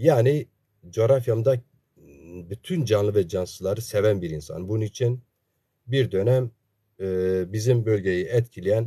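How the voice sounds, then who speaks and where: A man with an Eastern Anatolian accent speaks at a fairly slow pace, with long, frequent pauses, over a quiet background. His fairly low voice sounds somewhat breathy and has a dark, mellow tone with ordinary pitch variation. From Zaza region of eastern Turkey; Turkey. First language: Zazaki (speaking Turkish). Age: 50s. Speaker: political commentator and online broadcaster; political commentator. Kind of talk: monologue on politics for live stream viewers. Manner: many filler hesitations (e). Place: home room. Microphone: earbuds.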